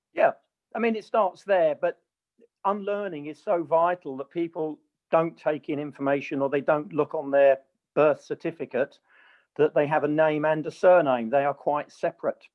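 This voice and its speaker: The speaker is a man with an unremarkable speaking voice and a fairly high pitch. He talks at a moderate pace with ordinary pitch variation. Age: 60s. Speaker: common law educator. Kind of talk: interview.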